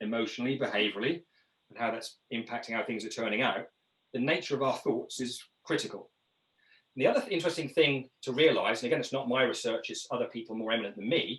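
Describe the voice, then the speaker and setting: Speaking at a very fast pace, a man has a British accent. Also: medium pitch for a man, ordinary pitch variation. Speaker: leadership trainer. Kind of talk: webinar presentation.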